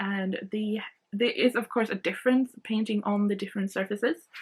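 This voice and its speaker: With a Swedish accent, a woman talks at a moderate pace in a fairly high, somewhat breathy voice. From Sweden. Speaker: art channel host. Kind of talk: product review. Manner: casual, hesitant with many fillers.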